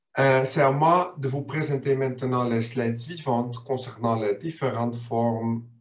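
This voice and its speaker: A man talks at a very slow pace in a medium pitch. His voice is somewhat breathy. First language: not French (speaking French). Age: 50s. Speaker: business board expert. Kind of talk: webinar presentation.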